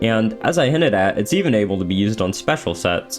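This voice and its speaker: Over music in the background, a man with fairly low pitch talks at a very fast pace with lively intonation. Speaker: gaming video creator. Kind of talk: video essay voice-over. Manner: sometimes stutters or slurs words together.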